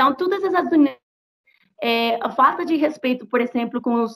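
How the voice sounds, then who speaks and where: Speaking with a Spanish accent, a woman keeps a moderate pace. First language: Spanish (speaking Portuguese). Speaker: activist. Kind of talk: interview. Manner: halting; animated.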